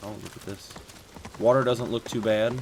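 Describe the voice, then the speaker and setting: Noticeable background noise around a man speaking at a moderate pace. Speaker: gaming youtuber. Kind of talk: gameplay commentary. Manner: casual, animated.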